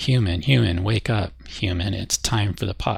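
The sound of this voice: A man puts on a raspy character voice at a fairly low pitch, speaking at a moderate pace.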